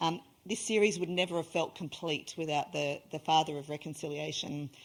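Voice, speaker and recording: At a moderate pace, a woman speaks in a very deep, low voice with fairly even intonation. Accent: Australian. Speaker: event host, reconciliation organisation leader. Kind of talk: event introduction speech. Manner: hesitant, many fillers.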